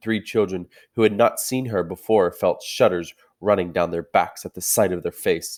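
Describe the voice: A quiet background beneath plain reading aloud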